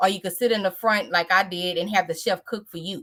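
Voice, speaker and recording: The speaker has a Louisiana accent and talks at a fairly quick pace. Pitch variation is ordinary. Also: woman. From US South, Louisiana (New Iberia). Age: 30s. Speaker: author. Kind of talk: interview.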